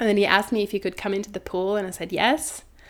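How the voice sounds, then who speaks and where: The speaker talks with a Norwegian accent. The recording is very clean, with a silent background. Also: woman. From Norway. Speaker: doula. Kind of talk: casual chat.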